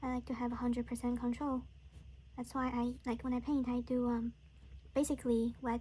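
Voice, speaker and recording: Her tone is dark and mellow. The woman speaks at a high pitch and a moderate pace. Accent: Chinese. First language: Chinese. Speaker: watercolor artist. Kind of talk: casual painting tutorial chat. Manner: halting, many fillers.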